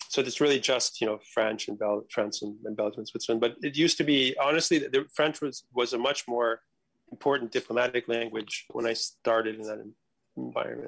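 Speaking at a fairly quick pace, a man with an American accent uses a normal speaking voice at medium pitch with ordinary pitch variation. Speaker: international policy analyst. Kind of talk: casual chat. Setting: video call.

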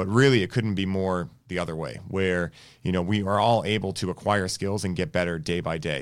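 With an American accent, a man talks at a very fast pace in a very deep, low voice with ordinary pitch variation. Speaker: wellness podcast host. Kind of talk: casual interview. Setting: studio.

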